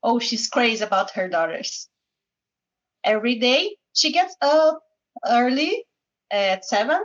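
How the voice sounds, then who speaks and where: Very slow and broken by long, frequent pauses, this is a woman with a high pitch. Her pitch swings very widely. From Goiânia, Brazil. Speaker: English student. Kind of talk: reading aloud. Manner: halting.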